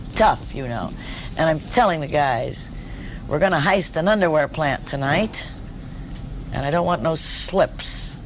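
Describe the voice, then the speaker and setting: Over noticeable background noise, a woman with a very deep, low pitch speaks at a fairly slow pace with lively intonation. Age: 60s. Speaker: stand-up comedian. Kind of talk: interview answer.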